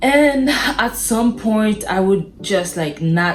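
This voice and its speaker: A woman's lively intonation in a Haitian accent, with noticeable background noise. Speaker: vlogger. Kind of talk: casual vlog monologue. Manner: animated.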